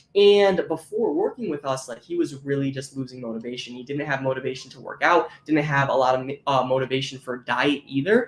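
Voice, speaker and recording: A man's fairly high, animated voice at a fairly quick pace, with hardly any pauses, ordinary pitch variation, big swings in loudness and noticeable background noise. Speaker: fitness coach. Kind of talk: live online class. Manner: fast.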